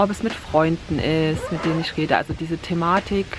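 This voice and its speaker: Noticeable background noise sits under a woman's fairly low pitch. She keeps a moderate pace and fairly even intonation. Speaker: vlogger. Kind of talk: casual vlog talk. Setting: outdoors by the water, rain starting.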